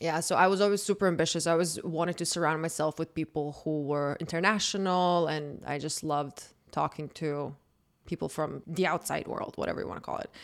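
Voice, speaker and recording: In a Croatian accent, a woman talks at a fairly quick pace with a fairly low pitch and fairly even intonation on a very clean recording with a silent background. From Croatia, Zagreb. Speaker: dating podcaster. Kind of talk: casual chat.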